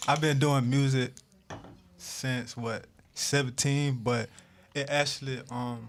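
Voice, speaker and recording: In a Southern US accent, the speech is very slow and monotone, with flat intonation and long, frequent pauses. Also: man, medium pitch for a man. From South Georgia, US South (Valdosta). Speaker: rapper. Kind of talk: interview. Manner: halting, many fillers.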